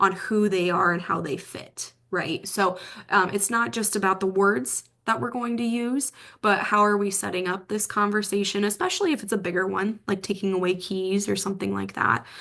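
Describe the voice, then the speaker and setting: At a moderate pace against a quiet background, a plain, everyday voice talks with ordinary pitch variation. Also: woman. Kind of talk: presentation.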